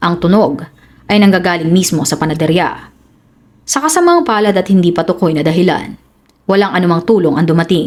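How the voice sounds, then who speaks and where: In an unremarkable speaking voice, the speaker goes at a fairly quick pace with very even loudness and ordinary pitch variation. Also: woman, fairly low pitch for a woman. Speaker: true crime storyteller. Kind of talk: dramatic scripted crime narration. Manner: grave, suspenseful, measured storytelling pace; formal, serious news-report-like delivery.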